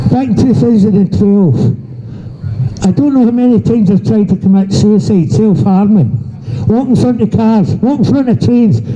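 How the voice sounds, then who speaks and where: A man with a high pitch talks at a moderate pace with lively intonation and very even loudness. Noticeable background noise is present. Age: 70s. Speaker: abuse survivor speaking at a protest. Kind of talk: testimony. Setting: outdoors.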